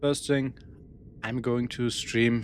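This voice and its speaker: A man speaks with a German accent. Music plays in the background. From Germany. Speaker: gaming streamer. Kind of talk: live gameplay stream. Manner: halting, searching for words.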